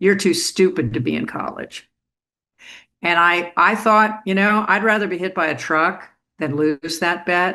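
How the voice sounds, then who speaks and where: Over a quiet background, a woman with an American accent speaks at a fairly slow pace, her fairly low voice bright and sharp with ordinary pitch variation. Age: 70s. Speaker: former sportscaster and teacher. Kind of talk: interview. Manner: hesitant fillers.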